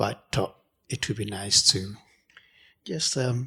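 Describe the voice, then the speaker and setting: A man whispering at a fairly slow pace. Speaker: artist. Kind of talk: gallery talk. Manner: soft-spoken; halting.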